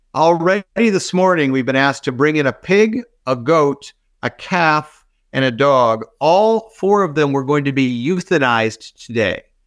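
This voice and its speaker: A man speaks in a plain, everyday voice at a moderate pace, fairly high in pitch with lively intonation. The sound is dry and close with no echo, on a very clean recording with a silent background. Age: 60s. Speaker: physician and healthcare technology executive. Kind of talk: interview.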